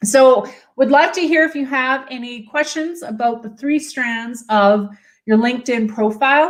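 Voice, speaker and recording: With a Canadian accent, a woman talks at a fairly slow pace in a high pitch, her tone energetic, her pitch variation ordinary and her loudness swinging widely. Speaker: personal branding coach. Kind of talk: livestream tutorial. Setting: live video stream, standing at desk.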